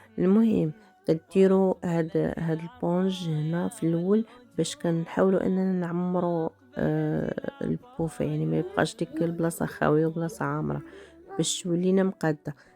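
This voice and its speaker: The pace is fairly unhurried as this woman talks. Background noise is clearly audible throughout. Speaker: DIY video creator. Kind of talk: tutorial. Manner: hesitant, many fillers.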